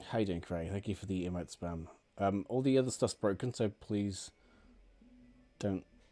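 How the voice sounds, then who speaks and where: With music in the background, a man at a fairly low pitch speaks at a moderate pace with ordinary pitch variation and long, frequent pauses. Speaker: gaming streamer. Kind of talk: live game stream chat. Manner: casual, hesitant with ums.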